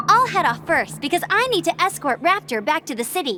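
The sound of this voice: A woman's put-on character voice, bright and sharp in tone, at an extremely high pitch, with big pitch swings and a fairly quick pace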